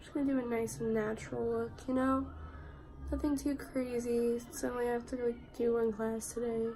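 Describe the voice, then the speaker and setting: With audible room echo and noticeable background noise, a woman speaks at a fairly high pitch, a moderate pace and fairly even intonation. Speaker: student vlogger. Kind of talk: casual vlog, get ready with me. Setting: at home.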